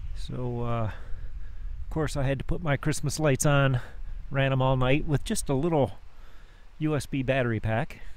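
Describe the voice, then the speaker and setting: The sound is dry with no echo as a man talks at a moderate pace. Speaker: van traveler vlogger. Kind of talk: casual vlog chat. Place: open country. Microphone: phone near.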